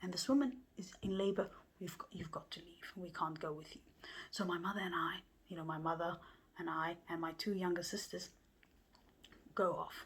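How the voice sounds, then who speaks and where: Speaking at a moderate pace, a woman has a fairly low, somewhat breathy voice with ordinary pitch variation. She takes long, frequent pauses. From Somalia. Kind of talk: personal storytelling.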